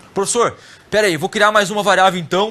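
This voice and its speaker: A man speaks in a raised, projected voice with a bright, sharp tone. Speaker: programming teacher. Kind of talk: lecture.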